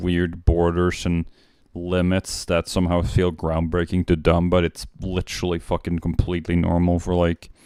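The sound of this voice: A man's low-pitched voice with a dark, mellow, clear and smooth tone and a flat, monotone delivery. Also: moderate pace.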